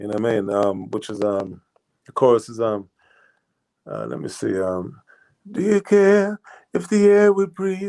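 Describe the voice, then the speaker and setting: Speaking fairly slowly with a slight Jamaican accent, a man swings his pitch very widely and leaves long, frequent pauses. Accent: slight Jamaican twang. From England, Jamaican parents. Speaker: singer-songwriter. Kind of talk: interview. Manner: casual, halting with fillers.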